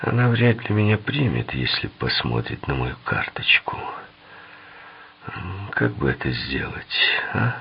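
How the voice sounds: Using a put-on character voice, a soft-spoken man talks at a fairly slow pace, his extremely low pitch moving in big swings.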